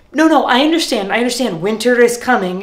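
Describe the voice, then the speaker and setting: Very wide pitch swings in a man's speech. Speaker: actor playing a hotel host. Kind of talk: comedy sketch dialogue.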